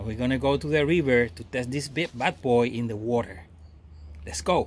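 Vocal fry from a man at a moderate pace, with light background noise. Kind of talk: casual product review vlog. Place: garden. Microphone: phone near.

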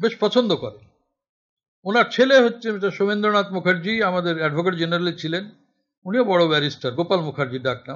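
Lively in intonation, a man speaks with a high pitch. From West Bengal, Murshidabad; West Bengal. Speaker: essayist and political activist; guest lecturer. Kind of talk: lecture. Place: classroom. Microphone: podium.

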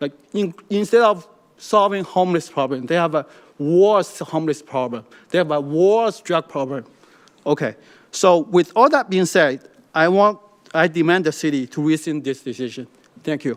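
A man with a Chinese accent at a fairly high pitch, a moderate pace, ordinary pitch variation, and long, frequent pauses. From China. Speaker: public commenter. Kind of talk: public comment. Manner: halting, many fillers.

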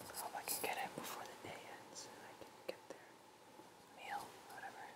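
A man whispers at a fairly quick pace. Noticeable background noise is present. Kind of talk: ASMR gameplay commentary. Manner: whispered.

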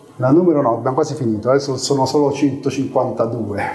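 Fairly even intonation from a man amid noticeable background noise. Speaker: product executive giving a talk. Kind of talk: conference talk, casual and joking. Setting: live meetup with audience. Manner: informal, humorous, with hesitations.

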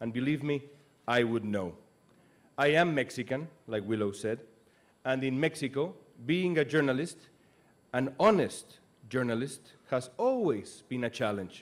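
At a moderate pace, a man speaks with lively intonation and long, frequent pauses. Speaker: speaker, news anchor. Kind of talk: commencement speech. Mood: earnest, serious. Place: stage. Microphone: podium.

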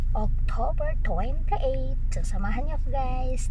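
Over loud background noise, a woman talks at a moderate pace, the sound dry with no echo. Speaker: vlogger. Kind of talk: casual vlog chat. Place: car. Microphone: phone near.

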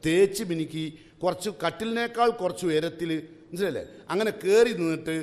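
The man's intonation is lively as he speaks. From Kerala, India. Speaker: Islamic preacher; speaker. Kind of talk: religious class lecture. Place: hall. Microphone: podium.

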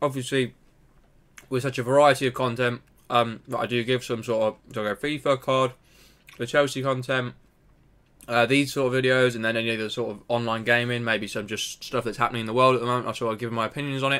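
With a bright, sharp tone, a man speaks at a very fast pace in a monotone, flat intonation. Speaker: small channel creator. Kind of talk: casual vlog chat. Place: home room. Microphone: webcam.

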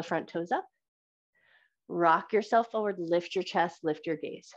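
Against a quiet background, a woman talks at a fairly slow pace and fairly low pitch with fairly even intonation. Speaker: yoga instructor. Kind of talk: live yoga class instruction, flowing cue-by-cue through vinyasa transitions. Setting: live recorded online class. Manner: calm, steady rhythmic cueing synced to breath; gentle, encouraging and warmly affirming. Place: home room.

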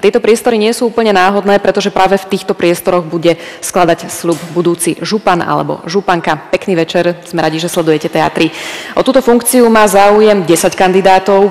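The pace is fairly quick, with ordinary pitch variation. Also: woman. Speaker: debate moderator. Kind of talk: TV debate host introduction. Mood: calm, formal. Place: hall. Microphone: headset.

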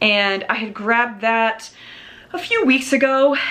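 A woman's fairly high voice at a slow pace, with audible room echo. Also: fairly bright tone.

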